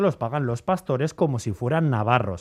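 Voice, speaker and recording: A man speaks against a quiet background. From Bizkaia mining area, Basque Country, Spain. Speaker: radio travel segment presenter. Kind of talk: radio segment chat.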